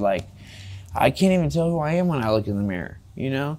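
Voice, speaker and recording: A man with a Californian accent, a fairly high pitch, lively intonation and a moderate pace. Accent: Californian American English. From California, Fresno. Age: 20s. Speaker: recovering drug addict interviewee; interviewee. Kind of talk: interview, personal life story. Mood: rueful, candid, emotional. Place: studio. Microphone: lapel.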